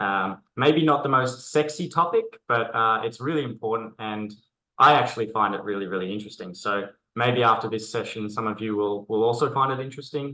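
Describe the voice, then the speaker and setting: With an Australian accent, this voice has a bright, sharp tone, ordinary pitch variation and a fairly quick pace. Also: man, medium pitch for a man. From Australia, Melbourne. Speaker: conversational AI consultant. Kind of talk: webinar presentation.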